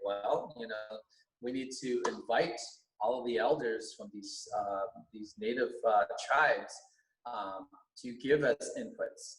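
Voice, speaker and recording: Using a fairly slow pace with long, frequent pauses, a man speaks in a Californian accent, his loudness swinging widely. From US West Coast, Alhambra, California. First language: Vietnamese. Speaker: teacher, school board candidate. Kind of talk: podcast interview. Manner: halting, many fillers.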